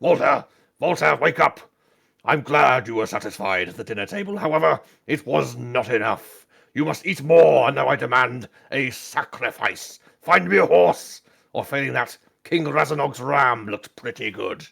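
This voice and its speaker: Putting on a character voice, a man with a medium pitch speaks at a moderate pace with very wide pitch swings. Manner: demanding, bossy.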